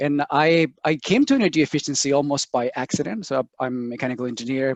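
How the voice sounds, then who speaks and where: A man talks at a fairly quick pace with a Chilean accent. The sound is dry and close with no echo, over a quiet background. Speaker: sustainability program director. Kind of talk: webinar interview.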